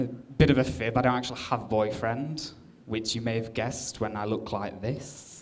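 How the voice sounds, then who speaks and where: A man with an English accent speaks at a moderate pace and medium pitch. His intonation is fairly even, and audible room echo surrounds the voice. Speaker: comedian. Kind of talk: stand-up. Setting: stage with audience.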